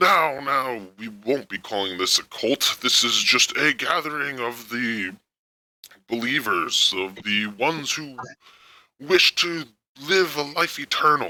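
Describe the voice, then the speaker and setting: Someone speaks fairly slowly in a put-on character voice with lively intonation. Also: man, medium pitch for a man. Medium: actual play. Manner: smooth, preaching.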